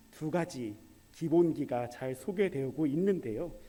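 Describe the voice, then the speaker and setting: Speaking at a fairly slow pace, a man with a dark, mellow tone makes very wide pitch swings. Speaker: preacher. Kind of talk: sermon. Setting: church service. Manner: conversational, asks audience questions.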